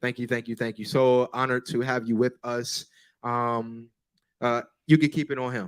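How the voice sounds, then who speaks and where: In a very clean recording with a silent background, a man with an American accent speaks in a medium pitch with monotone, flat intonation. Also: moderate pace. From US South. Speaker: church musical director. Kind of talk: interview.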